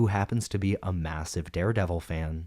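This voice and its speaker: A man speaks at a very deep, low pitch with a dark, mellow tone and fairly even intonation. The recording is very clean with a silent background. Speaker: comic book video essayist. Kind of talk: video essay narration.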